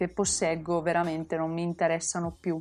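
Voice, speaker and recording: Female speech, captured very cleanly against total silence. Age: 20s. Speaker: podcast host. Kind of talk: casual monologue.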